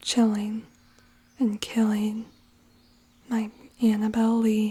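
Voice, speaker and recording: The speech is soft-spoken. It moves at a very slow pace. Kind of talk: poetry reading, ASMR.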